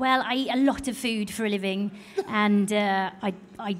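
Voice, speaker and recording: In a British accent, a woman speaks at a fairly high pitch. Her pace is moderate and her intonation fairly even. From Britain. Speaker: magazine editor. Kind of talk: panel discussion.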